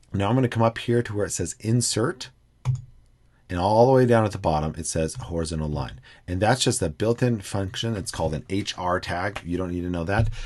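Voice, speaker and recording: Lively in intonation, a man talks at a fairly quick pace in a fairly low pitch. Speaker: educational technology trainer; instructor. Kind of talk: screen-recorded tutorial. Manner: fast; hesitant with fillers.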